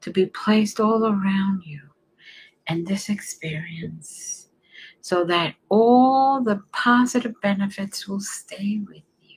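At a very slow pace, a woman with a fairly high, somewhat breathy voice speaks in a soothing, calm tone with ordinary pitch variation. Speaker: reiki healer. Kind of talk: guided meditation. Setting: online stream. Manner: slow, soothing, calm; soft-spoken, gentle.

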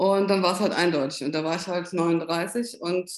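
A woman with a fairly low pitch and fairly even intonation speaks at a moderate pace in an unremarkable speaking voice. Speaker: Parkinson patient and patient advocate. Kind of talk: interview.

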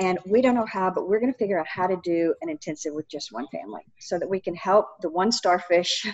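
A woman with an unremarkable speaking voice talks at a moderate pace and medium pitch, her intonation lively. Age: 60s. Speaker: recovery speaker and counselor. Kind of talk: interview conversation.

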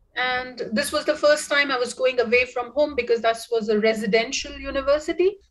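A woman's voice in an Indian accent. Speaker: professor. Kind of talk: casual interview. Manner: halting.

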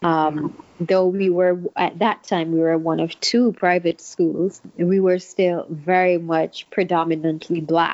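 A woman at fairly low pitch, fairly slow pace, and very even loudness, with monotone, flat intonation and hardly any pauses. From St. Kitts. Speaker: guest. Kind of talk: casual interview conversation.

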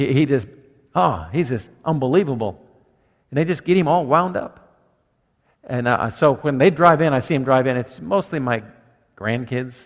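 A man at medium pitch and moderate pace, with long, frequent pauses. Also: lively intonation. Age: 60s. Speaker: pastor. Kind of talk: sermon. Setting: church.

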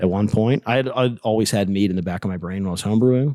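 With an American accent, a man speaks in a fairly low, dark and mellow voice with ordinary pitch variation, recorded very cleanly against a silent background with a dry, close sound and no echo. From Pittsburgh, Pennsylvania. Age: 40s. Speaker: mead maker and business owner. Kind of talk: casual chat. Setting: taproom recording with echo.

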